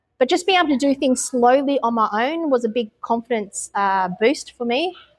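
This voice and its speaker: With an Australian accent, a woman speaks at a moderate pace in a high pitch with lively intonation. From Australia, Melbourne. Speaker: expat mother. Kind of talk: interview. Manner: hesitant with many fillers.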